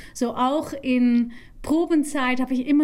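A woman with a Dutch accent and a fairly high-pitched voice. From Netherlands. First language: Dutch (speaking German). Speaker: musical theatre actress. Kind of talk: interview.

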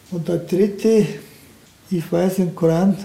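Speaking at a fairly slow pace in a flat monotone, a man with a Turkish accent has a high pitch for a man. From Turkey. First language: Turkish (speaking German). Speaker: retired car factory welder. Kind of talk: casual interview.

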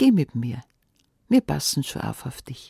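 A woman speaks in a dark, mellow, warm tone, somewhat breathy. Her pitch makes very wide swings. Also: dry, close sound with no echo. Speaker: fairy tale narrator. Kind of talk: fairy tale telling, folksy storytelling in dialect, addressing listeners directly. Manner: warm, cozy, lively storyteller voice with dialect colour; conversational, unhurried with expressive character voices.

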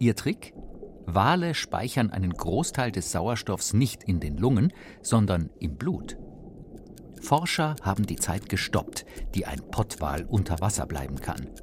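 A man's somewhat breathy, fairly low voice at a very slow pace, with very wide pitch swings and long, frequent pauses. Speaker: narrator. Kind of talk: scripted narration.

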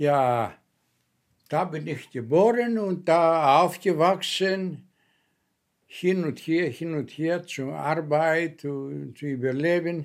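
Speaking with a Greek accent, a man has fairly high pitch and ordinary pitch variation. He goes at a very slow pace with long, frequent pauses, on a very clean recording with a silent background. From Greece (Kefalonia). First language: Greek (speaking German). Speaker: former guest worker. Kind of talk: personal testimony. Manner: halting.

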